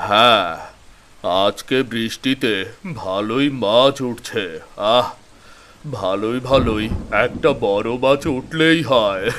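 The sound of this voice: A man puts on a cartoonish character voice, speaking at a very slow pace. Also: medium pitch for a man.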